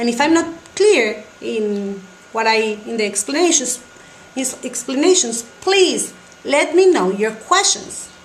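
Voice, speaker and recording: Very slowly, a woman speaks at high pitch with very wide pitch swings, with audible room echo and noticeable background noise. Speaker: Spanish teacher. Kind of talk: tutorial. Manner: halting.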